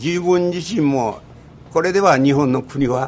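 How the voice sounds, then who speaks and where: A man is heard over noticeable background noise. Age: 80s+. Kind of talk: radio interview. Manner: clear, articulate.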